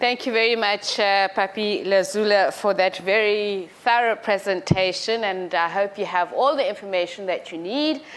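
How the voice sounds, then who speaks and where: At a moderate pace and with hardly any pauses, a woman speaks at a medium pitch with ordinary pitch variation. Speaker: program director. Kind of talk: event moderation. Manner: energetic.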